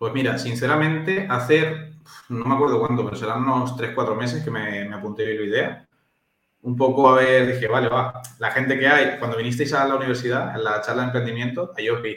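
A man with a plain, everyday voice talks at a fairly quick pace, with a medium pitch and ordinary pitch variation. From Spain, Valencia (born in Chile, moved at five). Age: 20s. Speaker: nutritionist. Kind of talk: casual chat.

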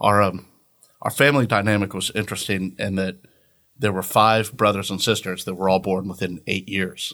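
Using an American accent, a man speaks at a fairly low pitch and moderate pace, with fairly even intonation and a bright, sharp tone. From Northeast Florida (Orange Park, near Jacksonville). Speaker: small business owner. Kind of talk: interview conversation.

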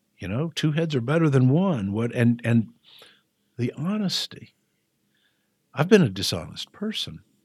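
A man speaks at a moderate pace and medium pitch, somewhat breathy. His pitch swings very widely, and he takes long, frequent pauses. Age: 60s. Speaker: person in addiction recovery. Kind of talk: personal testimony interview. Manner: hesitant with frequent fillers.

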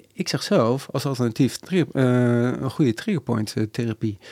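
A man talks moderately fast, his pitch varying in an ordinary way. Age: 40s. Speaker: ultrarunner and sports masseur. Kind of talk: casual chat.

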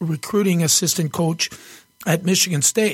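A man speaks at a moderate pace in a high voice, his intonation fairly even. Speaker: former hockey player, co-host. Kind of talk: casual chat.

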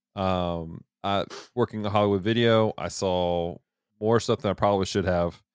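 Over a silent background in a very clean recording, a man speaks at a moderate pace. He has an ordinary speaking voice, fairly low in pitch, with fairly even intonation. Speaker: podcast host. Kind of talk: casual chat.

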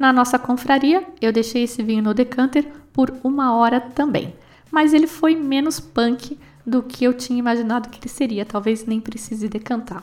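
A woman with a Brazilian accent speaks at a high pitch and a moderate pace, with ordinary pitch variation and big swings in loudness. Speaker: wine podcast host. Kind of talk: casual solo talk about wine.

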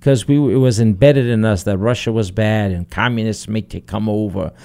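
A man's dark, mellow voice with a Portuguese accent, on a very clean recording with a silent background. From Azores, Terceira. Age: 50s. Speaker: human resources director. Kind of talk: radio interview. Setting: studio.

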